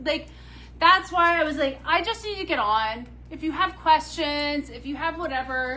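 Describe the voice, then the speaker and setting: A woman's raised, projected voice with an American accent, high pitch, lively intonation and a moderate pace. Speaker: boutique owner presenting handbags. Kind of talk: live shopping stream chat. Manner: loud; animated.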